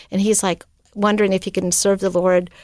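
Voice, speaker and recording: Speaking with an American accent, a woman keeps a monotone, flat intonation in a very clean recording with a silent background. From US West Coast, California. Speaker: missionary. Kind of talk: casual interview chat. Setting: studio.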